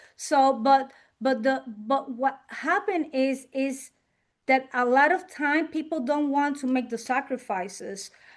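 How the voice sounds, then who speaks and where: Against a quiet background, a woman with a strong Puerto Rican accent speaks fairly slowly in a high voice. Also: ordinary pitch variation. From Puerto Rico. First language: Spanish. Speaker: insurance and financial business owner. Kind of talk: interview. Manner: halting, many fillers.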